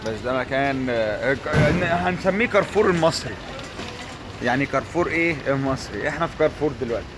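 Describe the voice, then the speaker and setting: Music plays in the background under speech with lively intonation. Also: man, fairly high pitch for a man, moderate pace. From Egypt. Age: 20s. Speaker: vlogger. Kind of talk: casual vlog. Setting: in a shop.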